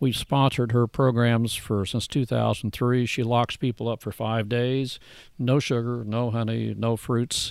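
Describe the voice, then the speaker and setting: A man talks in a monotone at a medium pitch and a fairly slow pace. The recording is very clean, with a silent background and flat intonation throughout. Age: 60s. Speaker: grass-fed beef rancher and business owner. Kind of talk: casual interview. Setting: outdoors in a garden.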